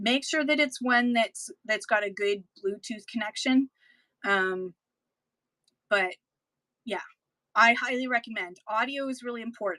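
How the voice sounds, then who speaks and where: With a Canadian accent, a woman speaks at a fairly high pitch and a fairly slow pace, with ordinary pitch variation and long, frequent pauses. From Canada, Toronto area. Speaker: online live-stream seller. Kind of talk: live-stream selling tips talk.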